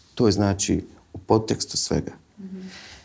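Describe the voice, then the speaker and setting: Against a quiet background, a man with a dark, mellow tone and vocal fry talks at a moderate pace. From Visoko, Bosnia and Herzegovina; Bosnia and Herzegovina. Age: 30s. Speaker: film director; guest. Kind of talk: interview. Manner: halting. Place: studio.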